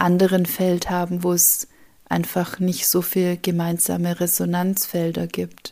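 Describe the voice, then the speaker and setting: A woman speaks at a very slow pace in a fairly low pitch. Her tone is dark and mellow, and her intonation is monotone and flat. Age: 50s. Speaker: spiritual podcaster. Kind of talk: spiritual monologue. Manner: soft-spoken.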